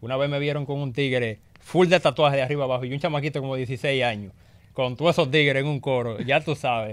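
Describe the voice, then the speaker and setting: His pitch moves in an ordinary way. The man keeps a fairly quick pace. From Dominican Republic, Las Terrenas, Samaná; Dominican Republic. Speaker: rapper; interview guest. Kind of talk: casual interview. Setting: radio studio. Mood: relaxed, joking. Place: studio. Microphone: studio mic.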